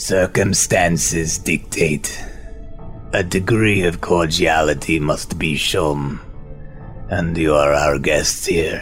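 Raspy and very slow, a man uses a put-on character voice with a very deep, low pitch while clear music plays in the background. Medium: actual play. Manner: formal, clipped, haughty.

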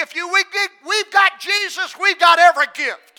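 Raising and projecting his voice, a man speaks in a bright, sharp tone. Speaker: preacher. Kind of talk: sermon. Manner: repetitive emphatic delivery.

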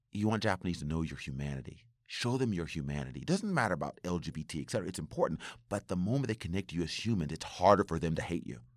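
A man's very deep, low voice with vocal fry and an animated tone, lively intonation, a very fast pace with hardly any pauses, and a very clean recording over a silent background. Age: 40s. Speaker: IT professional and community volunteer. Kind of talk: casual chat.

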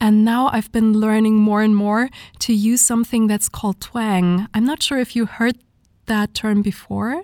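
A woman with a German accent speaks at a fairly high pitch and very even loudness, the sound dry and close with no echo on a very clean recording with a silent background. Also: fairly even intonation, moderate pace. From southern Germany (Munich). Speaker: singer. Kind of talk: interview.

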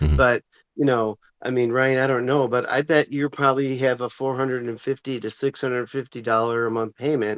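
A man with a plain, everyday voice talks at a moderate pace and a medium pitch. His intonation is fairly even, and the sound is dry and close with no echo. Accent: American. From US Midwest, Chicago. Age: 50s. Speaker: teacher. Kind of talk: casual round-table chat. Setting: video call.

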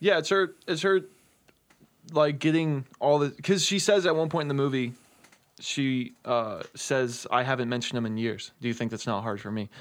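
Spoken with an American accent, this is an ordinary speaking voice with lively intonation at a moderate pace. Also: man, fairly high pitch for a man. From Texas. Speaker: guest, horror fan. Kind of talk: casual chat.

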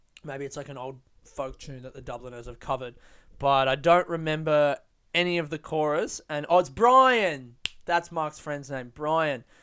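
With an Australian accent, a man talks in a fairly high voice whose loudness swings widely. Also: ordinary pitch variation, moderate pace. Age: 20s. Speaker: solo podcaster. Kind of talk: casual monologue. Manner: animated.

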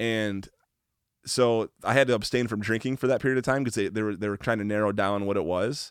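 In a very clean recording with a silent background, a man with a plain, everyday voice speaks fairly quickly at a fairly low pitch with fairly even intonation. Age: 30s. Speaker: podcast host guest. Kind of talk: casual chat.

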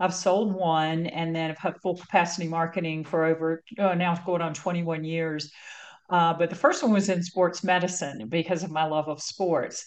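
A woman with an American accent and a plain, everyday voice, fairly low in pitch, at a moderate pace with fairly even intonation. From North Carolina. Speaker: marketing agency founder and CEO. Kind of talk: interview conversation.

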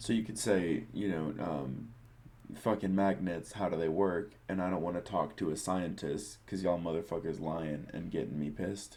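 A man with a very deep, low voice speaks at a moderate pace, with ordinary pitch variation. His tone is dark, mellow and gravelly, with vocal fry. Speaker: podcast co-host. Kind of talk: casual chat.

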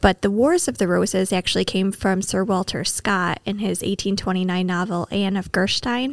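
A woman with an American accent has an unremarkable speaking voice at a medium pitch. She keeps a moderate pace with ordinary pitch variation and hardly any pauses. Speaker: librarian guest. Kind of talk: casual chat about books.

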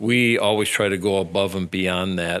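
Bright and sharp in tone, a man talks with an Upper Midwest accent. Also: very clean recording, silent background. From central Wisconsin. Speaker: police chief. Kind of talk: radio interview. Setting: studio. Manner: halting, many fillers.

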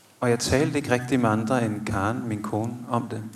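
Over noticeable background noise and audible room echo, a man talks very slowly at a medium pitch with monotone, flat intonation. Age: 30s. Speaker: theologian. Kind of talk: live podcast interview. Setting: stage with audience of about 80.

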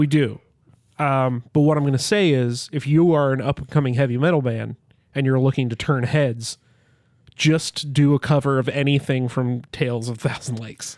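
A man with a medium pitch speaks at a moderate pace and fairly even intonation, an unremarkable speaking voice. The recording is very clean, with a silent background. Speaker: podcast co-host. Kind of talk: casual comedic banter. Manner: sarcastic, jokey.

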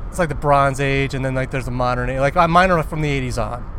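A man talks at a very fast pace. Audible room echo and noticeable background noise fill the recording. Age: 40s. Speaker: podcast co-host. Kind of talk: casual chat. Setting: in a car.

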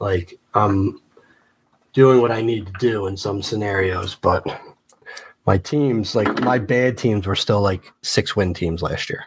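The somewhat breathy voice moves at a very slow pace with ordinary pitch variation. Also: man, fairly low pitch for a man. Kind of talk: angry rant, casual banter. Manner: heated, exasperated, sarcastic, repeating words for emphasis.

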